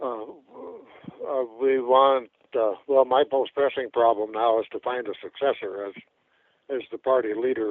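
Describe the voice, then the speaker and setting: At a fairly slow pace, a man speaks at a medium pitch with monotone, flat intonation. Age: 70s. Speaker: third-party presidential candidate. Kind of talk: radio interview. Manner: halting.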